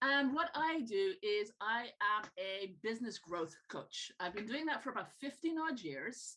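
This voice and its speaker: A woman speaks at a fairly high pitch in a bright, sharp tone, slowly and with very wide pitch swings. Light background noise is present. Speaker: business growth coach. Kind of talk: tutorial. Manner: animated.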